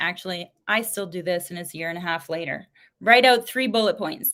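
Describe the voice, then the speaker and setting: The voice belongs to a woman. Her recording is very clean, and the background is silent. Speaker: sales coach and live streamer. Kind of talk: live stream talk. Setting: live stream on multiple platforms. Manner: frequent ums and stutters; pauses instead of filler words.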